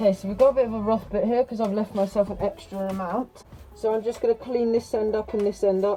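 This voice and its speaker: A woman with an English accent speaks at a very fast pace in a fairly high, flat monotone over background music. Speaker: woodturning maker. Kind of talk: tutorial.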